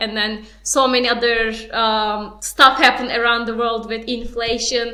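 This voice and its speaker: A bright, sharp voice with a non-native accent speaks at a moderate pace. The intonation stays flat and monotone, with audible room echo. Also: woman. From outside the UK. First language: not English. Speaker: young entrepreneur, award winner. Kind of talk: panel discussion.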